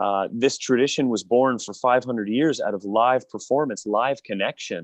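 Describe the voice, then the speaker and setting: A man with a Canadian accent and a normal speaking voice, medium in pitch, at a moderate pace with ordinary pitch variation and a quiet background. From Niagara Falls, Ontario, Canada. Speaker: opera singer, baritone. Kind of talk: interview answer.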